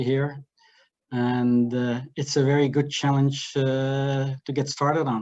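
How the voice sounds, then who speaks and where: The speaker has a slight Dutch accent and a flat, monotone intonation. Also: man. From Netherlands. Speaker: finance executive. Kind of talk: business introduction.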